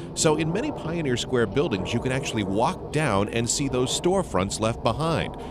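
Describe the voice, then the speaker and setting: A man at a moderate pace with very wide pitch swings, over noticeable background noise. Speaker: radio news reporter. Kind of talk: news feature narration.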